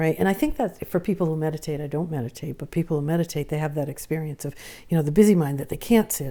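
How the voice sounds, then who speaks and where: A woman talks at a very fast pace. Her voice is very deep and low, with a dark, mellow tone. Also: ordinary pitch variation. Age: 70s. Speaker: author and therapist. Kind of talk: interview.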